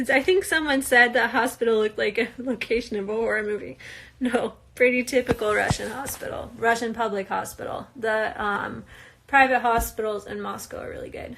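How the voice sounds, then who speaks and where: In an American accent, a woman talks at a fairly quick pace and fairly high pitch, with vocal fry, ordinary pitch variation, and big swings in loudness. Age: 20s. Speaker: reality TV participant. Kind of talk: live Q&A stream. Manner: casual, hesitant with fillers.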